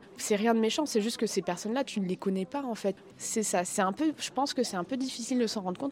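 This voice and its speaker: At a very fast pace, a woman talks with ordinary pitch variation. Her pitch sits fairly high for a woman. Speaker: content creator. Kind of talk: interview. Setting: convention backstage.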